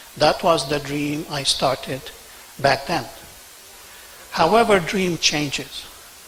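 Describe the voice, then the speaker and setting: A man with fairly high pitch and ordinary pitch variation speaks at a very slow pace, leaving long, frequent pauses. Noticeable background noise is present. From Senegal and Lebanon. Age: 60s. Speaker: business owner, award recipient. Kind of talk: acceptance speech.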